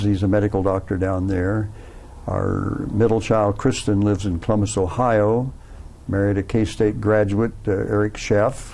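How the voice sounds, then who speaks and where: Speaking in a monotone, flat way, a man with an American accent has a fairly low pitch. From West Virginia, Huntington. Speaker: retired business professor and war veteran. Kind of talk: oral history interview. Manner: hesitant, many fillers.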